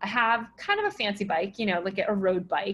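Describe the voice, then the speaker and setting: Moving at a fairly quick pace, a woman uses a plain, everyday voice at medium pitch. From Connecticut, US. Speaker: marketing and branding specialist. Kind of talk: casual interview.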